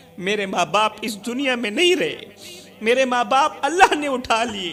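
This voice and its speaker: A man with an extremely high pitch speaks in a raised, projected voice and a passionate tone. Music plays in the background. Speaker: Islamic preacher. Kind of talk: emotional Urdu religious sermon. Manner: emotional, passionate, storytelling.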